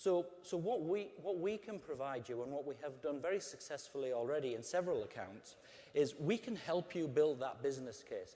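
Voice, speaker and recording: A man with an English accent, a dark, mellow tone, lively intonation and a fairly quick pace. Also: fairly high pitch for a man. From England. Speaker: customer service executive. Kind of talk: conference talk.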